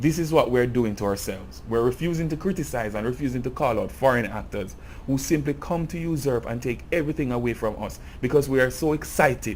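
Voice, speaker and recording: With a Jamaican accent, a man at a medium pitch talks at a fairly quick pace, with vocal fry in his voice. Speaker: video essayist on music culture. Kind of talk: video essay commentary.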